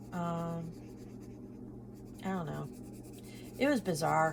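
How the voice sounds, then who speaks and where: Room echo can be heard around a woman. She talks at a fairly slow pace. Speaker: budgeting vlogger. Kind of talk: casual chat. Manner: hesitant, many fillers.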